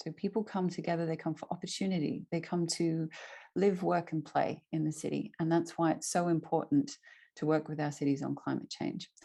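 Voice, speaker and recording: A woman with an Australian accent speaks at a fairly low pitch in a dark, mellow tone with vocal fry. Her pace is fairly quick, her pitch variation ordinary, and the background quiet. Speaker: climate network innovation lead. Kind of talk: presentation. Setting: video call.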